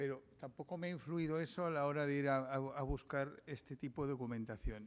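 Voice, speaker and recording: A man speaks with fairly high pitch and ordinary pitch variation. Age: 60s. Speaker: investigative journalist. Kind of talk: conference talk. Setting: seminar with audience. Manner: hesitant, with frequent fillers and restarts.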